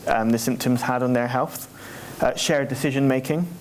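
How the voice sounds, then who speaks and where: With fairly even intonation, the voice carries audible room echo and noticeable background noise. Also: man. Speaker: charity representative presenting survey. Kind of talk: conference presentation. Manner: fast.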